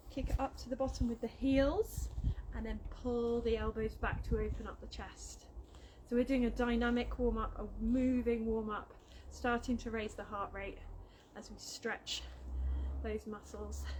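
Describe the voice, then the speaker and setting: Mumbling with a British accent, a woman speaks at a moderate pace with long, frequent pauses over noticeable background noise. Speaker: fitness instructor. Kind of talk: workout instruction. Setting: outdoors.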